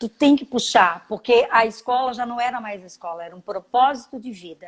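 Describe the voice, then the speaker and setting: A woman at a fairly quick pace, high in pitch with ordinary pitch variation and big swings in loudness. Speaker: school founder and entrepreneur. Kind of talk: interview.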